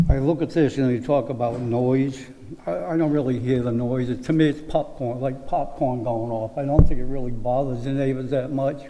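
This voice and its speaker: A man speaks at a medium pitch and moderate pace with fairly even intonation. The recording carries audible room echo and noticeable background noise. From Rhode Island, South Kingstown. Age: 80s+. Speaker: resident giving public comment. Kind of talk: public comment at town meeting. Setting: town planning board meeting.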